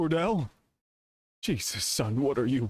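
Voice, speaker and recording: In a put-on character voice, a man talks at a fairly slow pace with a medium pitch and very wide pitch swings. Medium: video game.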